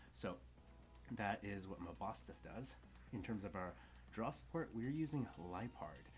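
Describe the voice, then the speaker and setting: A man whispers softly at a moderate pace, leaving long, frequent pauses while music plays in the background. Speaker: card game content creator. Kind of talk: tutorial. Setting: at home. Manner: whispering softly.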